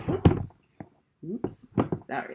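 The speech comes at a moderate pace in a very clean recording with a silent background. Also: woman. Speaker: podcast co-host. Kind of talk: casual chat. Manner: loud when passionate.

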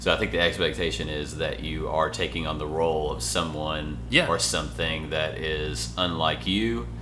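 Noticeable background noise accompanies a man with a very deep, low pitch. He talks at a moderate pace with ordinary pitch variation. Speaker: podcast host. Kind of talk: casual chat. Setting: hotel room recording.

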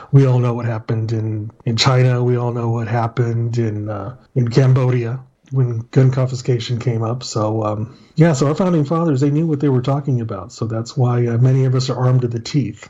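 A man talks at a fairly quick pace in a West Texas accent. His tone is dark, mellow and somewhat breathy, with fairly even intonation. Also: medium pitch for a man. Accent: West Texas American. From El Paso, Texas. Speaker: retired police officer. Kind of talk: casual chat.

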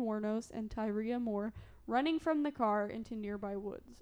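A woman with a southern Illinois accent and ordinary pitch variation. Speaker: podcast co-host telling a true crime story. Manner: casual storyteller, frequent "like" fillers.

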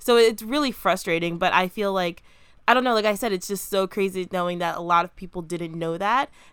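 A woman with an American accent and a plain, everyday voice talks at a fairly quick pace, medium in pitch, with ordinary pitch variation. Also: very clean recording, silent background. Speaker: podcast co-host. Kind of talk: casual chat.

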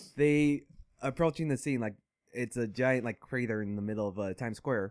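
A plain, everyday voice with an American accent and ordinary pitch variation. The sound is dry and close with no echo, on a very clean recording with a silent background. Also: man. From Vietnamese family, living in Minnesota. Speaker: podcast co-host. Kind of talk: casual chat.

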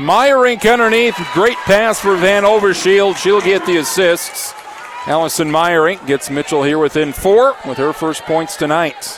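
High-pitched man's voice at a fairly slow pace, with noticeable background noise. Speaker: radio play-by-play announcer. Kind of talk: live sports commentary. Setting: courtside at arena, radio broadcast.

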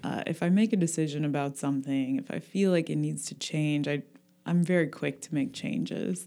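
A woman's very deep, low voice with a dark, mellow tone, lively intonation and a fairly quick pace. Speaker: yoga and wellness studio owner. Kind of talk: casual interview chat. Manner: calm, soothing.

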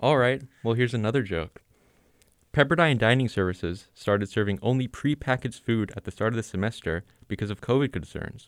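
An unremarkable speaking voice from a man with an American accent, medium pitch, ordinary pitch variation and a fairly quick pace, on a very clean, dry, close recording with no echo and a silent background. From Los Angeles, US. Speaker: podcast host. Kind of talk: scripted comedy news jokes. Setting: studio.

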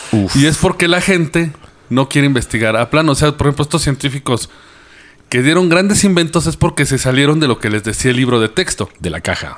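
Talking at a fairly quick pace, a man with a fairly high pitch and lively intonation speaks in a Mexican accent. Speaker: podcast host. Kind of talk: casual chat. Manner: animated.

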